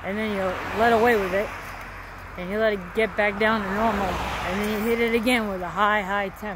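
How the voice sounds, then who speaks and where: Dry with no echo but with noticeable background noise, the clip has a woman speaking at a moderate pace with fairly even intonation. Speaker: vlogger. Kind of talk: casual vlog chat. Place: street. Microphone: headset.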